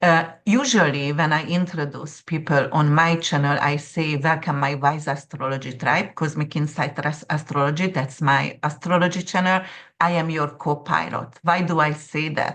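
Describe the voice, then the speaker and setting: A woman with a non-native accent and a very deep, low pitch speaks at a moderate pace with fairly even intonation and hardly any pauses against a quiet background. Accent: noticeable foreign. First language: not English. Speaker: astrologer. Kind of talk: interview conversation.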